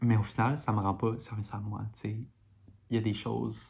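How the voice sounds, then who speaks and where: Soft-spoken, a woman with a Quebec accent talks in a very deep, low pitch with vocal fry, a dark, mellow tone and fairly even intonation. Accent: Québécois French. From Montreal, Quebec. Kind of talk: casual talk to camera.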